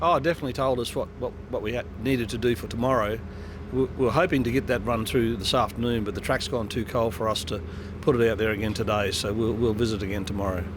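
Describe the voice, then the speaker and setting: Over noticeable background noise, a man talks very fast with an Australian accent. His pitch sits at a medium level with ordinary variation. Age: 70s. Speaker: drag racing driver. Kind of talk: interview. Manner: halting, repeats words.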